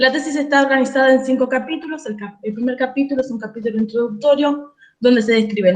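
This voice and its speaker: A woman speaks at a very fast pace in a high voice with ordinary pitch variation. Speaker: doctoral candidate. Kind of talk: thesis defense presentation.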